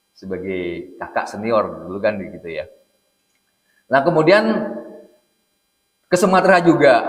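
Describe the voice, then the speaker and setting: In a Jakarta accent, a fairly high-pitched man speaks fairly slowly, with very wide pitch swings, big swings in loudness, long, frequent pauses and audible room echo. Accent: Jakarta-sounding Indonesian. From Central Java, Indonesia. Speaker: Islamic preacher. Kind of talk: religious lecture. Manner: casual, joking.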